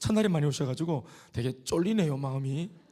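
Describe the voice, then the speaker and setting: A man's fairly high voice with a Gyeongsang accent, dark and mellow in tone, lively intonation at a fairly quick pace, on a very clean recording with a silent background. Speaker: pastor. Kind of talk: sermon. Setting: church. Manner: fast.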